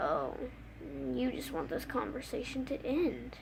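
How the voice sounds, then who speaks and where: A woman performs a put-on character voice. Loud background noise fills the recording. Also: moderate pace. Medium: read story. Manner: cold, menacing.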